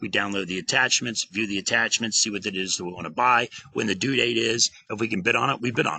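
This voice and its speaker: This man's tone is bright and sharp, and he talks at a fairly quick pace with ordinary pitch variation. The sound is dry and close, with no echo. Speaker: government contracting trainer. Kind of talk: tutorial. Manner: fast; animated.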